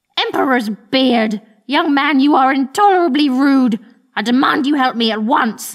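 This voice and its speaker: A woman talks with a high pitch. Her voice has a growling quality. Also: moderate pace, ordinary pitch variation. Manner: snarling, demanding, indignant.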